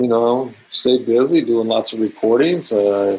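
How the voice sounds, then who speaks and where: This is a man speaking with an American accent. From US West Coast, California. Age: 60s. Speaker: drummer. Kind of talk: interview. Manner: casual, animated.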